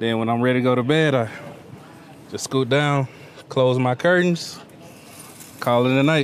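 With a Memphis accent, a man talks with fairly even intonation and long, frequent pauses, over light background noise in a dry sound with no echo. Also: moderate pace. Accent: Southern US (Memphis). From US South (Memphis, Tennessee); Tennessee. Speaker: navy sailor, culinary specialist. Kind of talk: interview and tour. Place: boat. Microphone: lapel.

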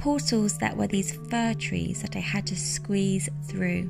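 A woman talks at a very slow pace. Music plays in the background. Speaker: woodland forager and pagan/witch content creator. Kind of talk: casual talk to camera, relaxing vlog narration.

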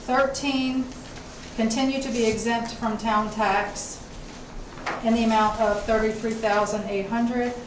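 A woman's monotone, flat intonation amid noticeable background noise and audible room echo. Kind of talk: formal report at a public meeting. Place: meeting room.

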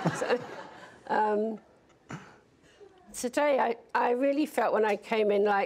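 With a British accent, a woman with a fairly high pitch talks at a very slow pace, with long, frequent pauses, fairly even intonation and very even loudness. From Britain. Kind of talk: interview. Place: studio.

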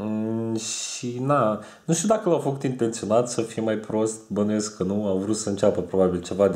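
Over a quiet background, a man with a dark, mellow tone speaks at a moderate pace in a fairly low voice with ordinary pitch variation. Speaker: vlogger. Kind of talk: casual vlog chat about cartoons. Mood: relaxed, smiling. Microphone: webcam.

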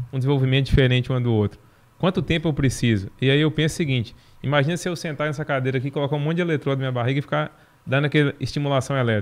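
This man talks very fast with a fairly high pitch and ordinary pitch variation. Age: middle-aged. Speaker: veterinarian and horse trainer, university professor; horse trainer, university professor. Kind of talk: interview. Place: studio. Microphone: studio mic.

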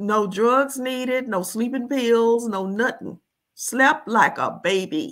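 A woman at a very slow pace, with ordinary pitch variation, against a quiet background. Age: 70s. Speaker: expat living in Jamaica; interview guest. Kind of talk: casual interview. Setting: video call. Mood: relaxed, amused storytelling. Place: home room.

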